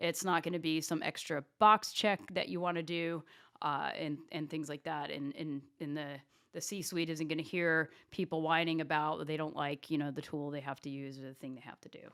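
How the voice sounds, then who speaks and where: A woman speaks at a moderate pace with a very deep, low pitch and fairly even intonation. Her loudness swings widely, and the recording is very clean with a silent background. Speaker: revenue operations executive. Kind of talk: interview conversation.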